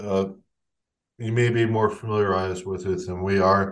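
Against a quiet background, a man with an ordinary speaking voice talks at a fairly low pitch and with fairly even intonation. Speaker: podcast host. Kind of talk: casual chat.

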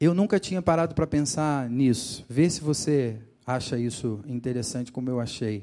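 A man in a Rio de Janeiro accent, medium-pitched with a dark, mellow tone, ordinary pitch variation and a moderate pace, on a very clean recording with a silent background. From Rio de Janeiro, Brazil. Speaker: pastor. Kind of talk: sermon.

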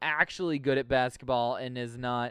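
A man speaks at a fairly slow pace, his voice dry and close with no echo against a quiet background. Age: 30s. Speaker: podcast host. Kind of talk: casual chat. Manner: animated.

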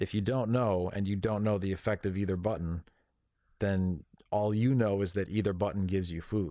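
A man with a plain, everyday voice speaks fairly low at a moderate pace with fairly even intonation. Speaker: podcast co-host. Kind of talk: casual chat.

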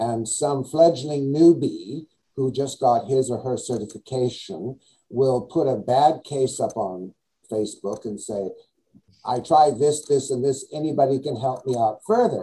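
A man's dark, mellow voice, medium in pitch and somewhat breathy, with ordinary pitch variation and a fairly slow pace. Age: 70s. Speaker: skincare scientist and educator. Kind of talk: interview. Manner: playful, joking.

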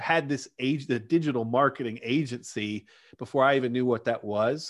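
The recording is very clean, with a silent background. A man with a Southern US accent speaks at a moderate pace. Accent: Southern American. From US South, Arkansas. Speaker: digital marketer, former chiropractor. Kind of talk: podcast interview.

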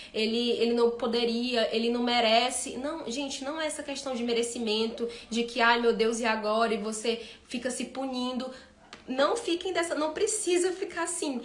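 A woman's high voice with ordinary pitch variation, at a moderate pace, with noticeable background noise and audible room echo. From Ceará, Brazil. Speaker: veterinarian. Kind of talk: live-stream talk with Q&A.

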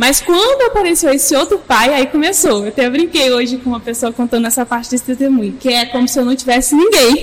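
Over noticeable background noise, a woman speaks at a high pitch and a fairly quick pace with lively intonation. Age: 20s. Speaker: church youth leader. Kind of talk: casual chat.

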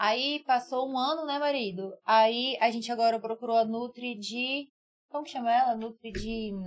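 Her intonation fairly even, a woman speaks at a moderate pace with a high pitch. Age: 20s. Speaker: podcast co-host. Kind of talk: casual chat.

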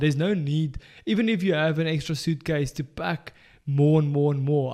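A man with a South African accent, fairly high pitch and dark, mellow tone at a moderate pace, in a very clean recording with a silent background. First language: Afrikaans. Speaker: podcast co-host. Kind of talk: casual chat. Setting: studio.

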